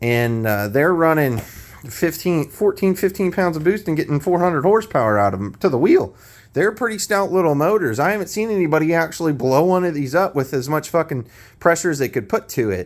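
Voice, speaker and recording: This man talks at a fairly quick pace in a fairly high pitch. His pitch swings very widely. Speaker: car hobbyist vlogger. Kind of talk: casual vlog talk. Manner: fast; casual, profane.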